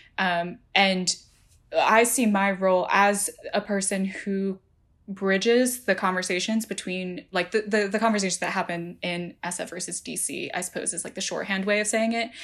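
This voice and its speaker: A woman with an American accent speaks in a normal speaking voice at medium pitch and a moderate pace, her intonation fairly even but her loudness swinging widely. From New Jersey, US. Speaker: tech journalist. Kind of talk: interview.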